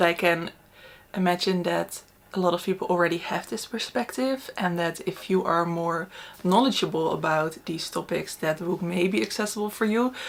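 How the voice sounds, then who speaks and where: Her pitch is fairly low, and this woman uses ordinary pitch variation. She speaks at a moderate pace. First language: not English. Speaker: book reviewer. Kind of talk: casual book review chat. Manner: casual, hesitant with fillers.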